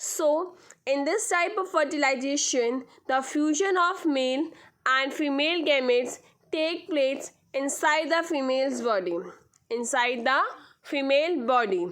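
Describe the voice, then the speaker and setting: A woman with a high pitch speaks at a fairly slow pace, her intonation lively. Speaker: school science teacher. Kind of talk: lecture. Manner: repetitive, halting.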